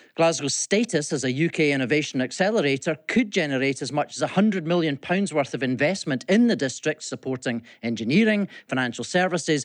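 This man talks fairly quickly with a Scottish accent and a fairly high pitch. His pitch swings very widely against a quiet background. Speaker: business leader. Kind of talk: scripted report.

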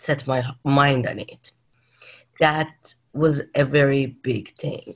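In a Persian accent, a woman speaks with a very deep, low pitch. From Iran (Tehran). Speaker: leadership coach and mindfulness educator. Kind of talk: interview conversation.

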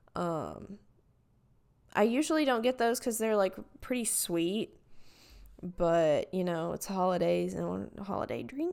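A woman with a Southern US accent at a fairly slow pace, with long, frequent pauses. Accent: Southern US country. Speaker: podcaster. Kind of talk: casual solo chat. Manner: rambling, heavy filler words.

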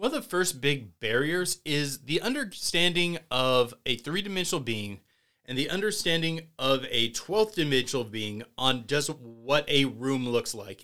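On a very clean recording with a silent background, a man with a fairly high pitch and a bright, sharp tone speaks at a moderate pace with lively intonation and hardly any pauses. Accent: American. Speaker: podcast co-host. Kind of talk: casual chat.

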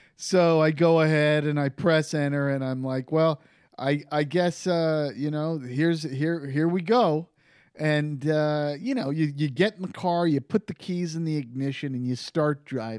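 Against a silent background on a very clean recording, the words come at a fairly slow pace. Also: man, ordinary pitch variation. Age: 30s. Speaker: podcast guest, fellow podcaster. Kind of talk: casual chat. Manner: animated.

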